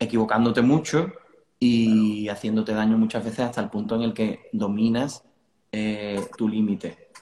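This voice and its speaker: A man talks at a fairly slow pace with medium pitch. His intonation is monotone and flat. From Cádiz, Andalusia, Spain. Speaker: rock band vocalist. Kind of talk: casual interview. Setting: video call from living room.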